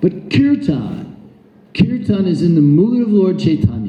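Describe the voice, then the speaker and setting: Loud speech at a moderate pace with an American accent. Noticeable background noise runs underneath. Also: man. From United States. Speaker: Hare Krishna preacher. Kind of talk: religious talk. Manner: animated.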